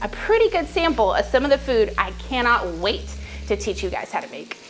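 A woman talks at a fairly quick pace while faint music plays in the background. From Southern US, Texas. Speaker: home cook. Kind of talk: casual talk to camera, cooking channel intro. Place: kitchen.

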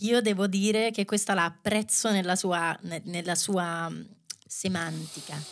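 Against a quiet background, a woman talks at a medium pitch with fairly even intonation and very even loudness. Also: fairly slow pace. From Rome, Italy; Italy. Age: 30s. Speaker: dancer and choreographer; podcast guest. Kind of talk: casual chat. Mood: thoughtful, engaged. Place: studio. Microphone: studio mic.

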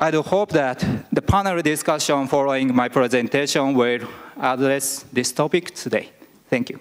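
In a Japanese accent, the speaker moves at a moderate pace with ordinary pitch variation. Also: man, fairly high pitch for a man. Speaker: vice principal; presenter. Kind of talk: conference presentation. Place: hall. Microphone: podium.

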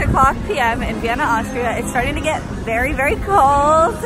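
A woman's voice, dry with no echo, over loud music in the background. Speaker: travel vlogger. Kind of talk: casual vlog chat. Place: street. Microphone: phone near.

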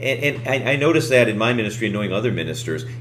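Music plays behind a man speaking at a very fast pace. His voice sits at a medium pitch. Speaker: church-growth show host. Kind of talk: interview. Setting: video call.

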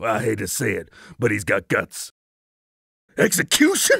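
Moderate pace and high pitch in a man's put-on character voice. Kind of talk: videogame voice acting. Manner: furious, shouting, profane.

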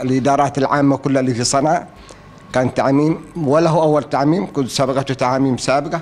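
At a moderate pace, the man delivers his words. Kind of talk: interview answer. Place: office. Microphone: studio mic.

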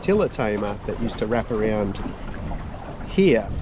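A man speaks at a moderate pace in a dry sound with no echo, with noticeable background noise behind him. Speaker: sailing vlogger. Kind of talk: casual vlog chat. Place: boat. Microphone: phone near.

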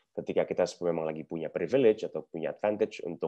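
The background stays quiet. Words pour out of a man very rapidly. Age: 30s. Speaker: corporate digital transformation executive; guest. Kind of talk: webinar presentation and Q&A. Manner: casual, mixes Indonesian and English. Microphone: video call.

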